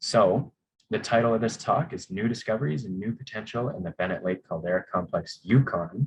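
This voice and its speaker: At a fairly quick pace, a man talks at a medium pitch with ordinary pitch variation and a somewhat breathy voice. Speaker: geologist presenting a mining project. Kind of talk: conference presentation. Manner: fast.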